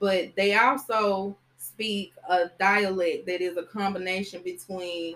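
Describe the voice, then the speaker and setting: Speaking very slowly, a woman keeps her intonation fairly even. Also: medium pitch for a woman. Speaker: podcast host. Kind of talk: casual chat. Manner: casual.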